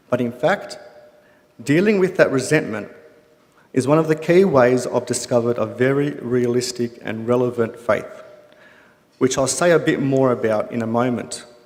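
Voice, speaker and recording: With audible room echo, a man speaks at a medium pitch with ordinary pitch variation and long, frequent pauses. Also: moderate pace. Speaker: photographer sharing testimony. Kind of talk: testimony. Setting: stage with studio audience. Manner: slight delay in speech.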